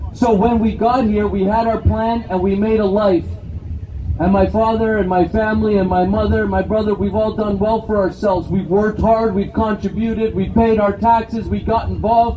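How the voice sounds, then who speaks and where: A man with a Canadian accent, high in pitch, in monotone, flat intonation at a moderate pace, over noticeable background noise. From Canada (immigrated from Brazil as small child). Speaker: political activist. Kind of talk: rally speech. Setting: outdoor rally with crowd.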